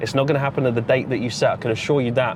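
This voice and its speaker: A man's very fast speech comes through noticeable background noise. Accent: English. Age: 20s. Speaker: forex trader and motivational vlogger. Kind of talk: motivational monologue vlog. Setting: in a car. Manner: casual, repetitive with false starts.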